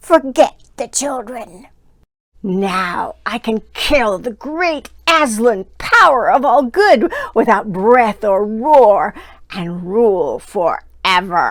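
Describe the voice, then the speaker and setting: A growling, put-on character voice carries a menacing tone. It moves at a very slow pace. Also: woman, fairly high pitch for a woman. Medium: read story. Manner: snarling, menacing.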